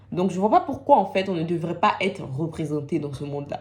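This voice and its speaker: Speech comes at a fairly quick clip, its pitch varying in an ordinary way. There's a somewhat breathy quality to it. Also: woman. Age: 20s. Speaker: student. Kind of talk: personal testimony to camera.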